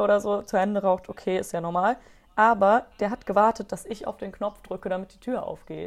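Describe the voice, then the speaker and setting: A woman talks at a very fast pace in a medium-pitched voice. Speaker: podcast co-host. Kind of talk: casual chat.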